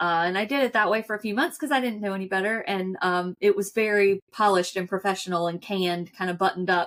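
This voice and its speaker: Rattling along at a very fast pace, a woman with a strong Southern US accent keeps a medium pitch and fairly even intonation. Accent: thick accent, US Southern (y'all). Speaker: financial advisor. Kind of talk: podcast interview. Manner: casual.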